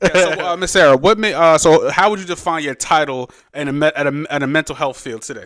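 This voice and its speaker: A fairly high-pitched man with a New York accent at a very fast pace. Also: ordinary pitch variation. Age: 30s. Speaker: podcast host and DJ. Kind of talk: interview podcast. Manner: halting, many fillers.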